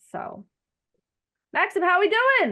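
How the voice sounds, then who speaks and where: An American accent comes through against a quiet background. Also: woman. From US South, Arkansas. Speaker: photographer and online group host. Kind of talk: casual chat. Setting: video call.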